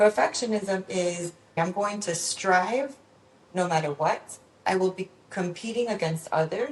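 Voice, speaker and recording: Noticeable background noise sits behind a woman with a Spanish accent. Her pitch is medium and her pace moderate. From Venezuela, raised in Miami from age six. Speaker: psychologist. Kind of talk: podcast interview.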